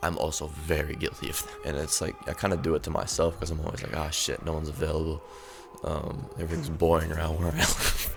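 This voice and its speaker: A man talks at a very fast pace in a very deep, low voice, with music in the background and audible room echo. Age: 20s. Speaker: music artist and channel host. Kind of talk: casual monologue to camera. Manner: rambling, stuttering; excited.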